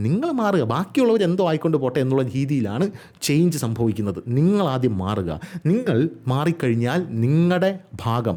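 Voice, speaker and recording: Lively intonation runs through this man's talk, delivered in a normal speaking voice. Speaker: YouTube news commentator. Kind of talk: solo video commentary.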